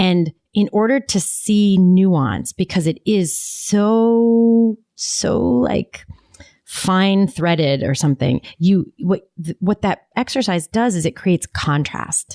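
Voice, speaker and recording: Music plays in the background as a woman speaks at a very slow pace. Her voice sits at a medium pitch with lively intonation. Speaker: podcast co-host; business facilitator. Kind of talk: podcast conversation.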